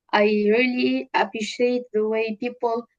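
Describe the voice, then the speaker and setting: The sound is dry and close, with no echo. A woman with a Tunisian accent speaks at a fairly high pitch with fairly even intonation. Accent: Tunisian accent in English, pretty good. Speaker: data scientist and entrepreneur. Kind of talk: interview. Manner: halting, many fillers.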